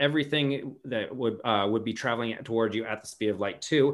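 A plain, everyday voice from a man at medium pitch, ordinary pitch variation and a fairly quick pace. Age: 30s. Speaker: stand-up comedian. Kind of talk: casual chat.

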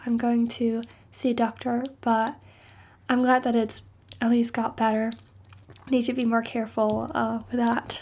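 Speaking at a fairly slow pace, a woman with a non-native accent has a high pitch. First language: not English. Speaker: university student podcaster. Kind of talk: casual solo podcast monologue.

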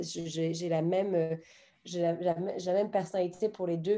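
A woman's fairly low pitch with monotone, flat intonation and a dark, mellow tone. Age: 30s. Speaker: art agency founder. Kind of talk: interview conversation. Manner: halting.

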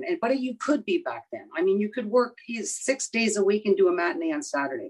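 Her pitch swings very widely as a woman talks. She keeps a fairly quick pace. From Kitchener, Ontario, Canada. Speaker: blues singer. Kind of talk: interview.

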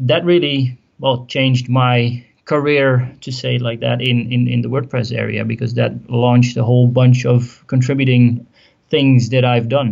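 A man with a Dutch accent speaks at a fairly slow pace in a flat monotone at a medium pitch, with hardly any pauses. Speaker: WordPress business owner. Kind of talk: interview.

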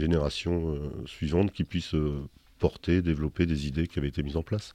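A dark, mellow tone with fairly even intonation. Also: man. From northern France, near Dunkirk (French Flanders). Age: 60s. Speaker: wine consultant and winegrower. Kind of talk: interview. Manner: halting, many repetitions and hesitations.

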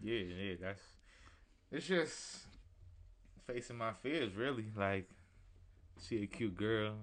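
Soft-spoken and fairly low in pitch, a man talks at a very slow pace with ordinary pitch variation and long, frequent pauses. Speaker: rapper. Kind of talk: casual chat. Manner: reserved, soft-spoken.

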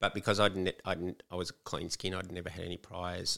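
A man with an Australian accent, very deep and low in pitch, bright and sharp in tone, at a very fast pace, on a very clean recording with a silent background. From Melbourne, Australia. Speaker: author, former prisoner. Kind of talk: interview.

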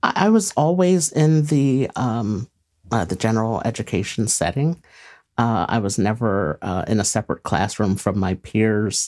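A man with an American accent, fairly slow and with very wide pitch swings, on a very clean recording with a silent background. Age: 40s. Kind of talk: interview. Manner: hesitant, many fillers.

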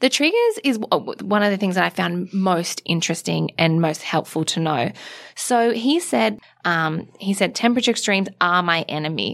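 A woman speaks at a moderate pace and a medium pitch. Her intonation is lively. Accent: Australian. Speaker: beauty editor, podcast co-host. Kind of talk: casual chat. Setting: studio.

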